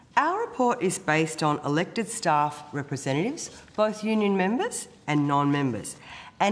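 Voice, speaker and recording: A woman speaks with an Australian accent at a moderate pace. Her intonation is lively. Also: very even loudness. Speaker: trade union president. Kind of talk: formal testimony.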